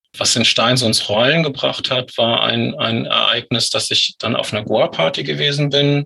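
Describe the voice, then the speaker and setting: The speech moves at a moderate pace with hardly any pauses and very even loudness over noticeable background noise. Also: man. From northern Germany, Lüneburg Heath. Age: 40s. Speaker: author with psychosis experience. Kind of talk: interview about personal story.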